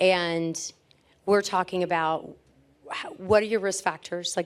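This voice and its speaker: An unremarkable speaking voice from a woman, medium in pitch with fairly even intonation, on a very clean recording with a silent background. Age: 50s. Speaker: physician. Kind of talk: conference panel talk.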